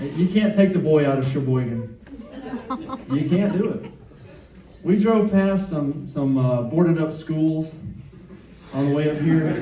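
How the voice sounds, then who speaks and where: A man with a Southern US accent at a fairly high pitch and fairly slow pace, with ordinary pitch variation, long, frequent pauses and audible room echo. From US South, Atlanta (South Side). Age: 50s. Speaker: stand-up comedian. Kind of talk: stand-up. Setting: stage with audience.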